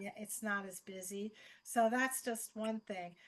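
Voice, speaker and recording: A woman's fairly high, bright, sharp voice with lively intonation at a fairly slow pace. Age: 60s. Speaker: yoga teacher and program graduate. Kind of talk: question on video call.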